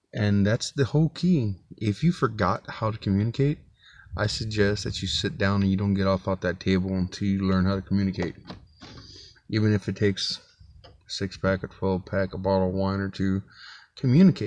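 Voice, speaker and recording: With a dry sound with no echo, a man speaks at a fairly quick pace and fairly low pitch, using ordinary pitch variation. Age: 40s. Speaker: vlogger, single father. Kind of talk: casual vlog monologue. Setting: inside his truck. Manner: casual, halting with fillers. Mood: earnest, reflective. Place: car. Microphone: phone near.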